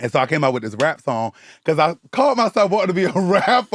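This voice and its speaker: With an animated tone and very wide pitch swings, the speaker moves at a fairly quick pace in a dry, close sound with no echo. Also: man. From US South, Savannah, Georgia (born in the Bronx). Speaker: social media content creator. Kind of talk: casual interview chat.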